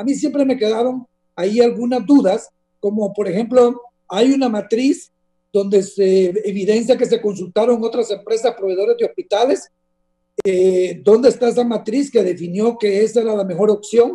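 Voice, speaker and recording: The man's voice sits high in pitch but has a dark, mellow tone. He keeps a moderate pace against a quiet background. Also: ordinary pitch variation. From Honduras. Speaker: politician and former bank regulator; guest. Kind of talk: interview. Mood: serious, critical. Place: home room. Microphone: video call.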